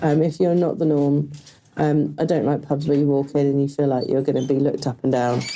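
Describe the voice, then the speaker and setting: A woman with a very deep, low voice speaks against noticeable background noise. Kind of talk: podcast interview. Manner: loud; hesitant, many fillers.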